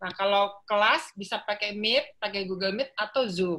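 Over a quiet background, a woman talks at a fairly slow pace in a bright, sharp tone. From Jakarta, Indonesia. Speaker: professor of philology. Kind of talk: interview. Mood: cheerful, animated. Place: home room. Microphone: video call.

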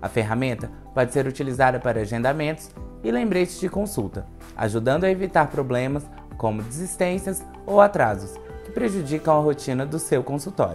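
Faint music plays in the background as the speaker talks at a fairly quick pace. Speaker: presenter. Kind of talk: informational explainer. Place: office.

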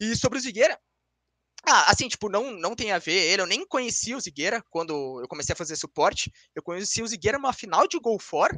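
A man's raised, projected voice, high in pitch with very wide pitch swings and a bright, sharp tone, dry with no echo over a quiet background. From Brazil. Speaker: esports player; guest. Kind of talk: interview. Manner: fast. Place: home room. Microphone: video call.

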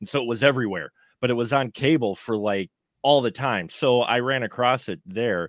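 A man with an American accent talks at a moderate pace, with ordinary pitch variation and an ordinary speaking voice. The sound is dry with no echo, and the background is quiet. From Milwaukee, Wisconsin, US; Wisconsin. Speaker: film podcaster and panelist; film podcaster, panelist. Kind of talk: live round table film review. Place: home room. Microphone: video call.

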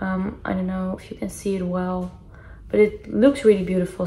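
A woman keeps her intonation fairly even while noticeable background noise continues. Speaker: vlogger. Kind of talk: casual haul vlog chat. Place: home room. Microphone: phone near.

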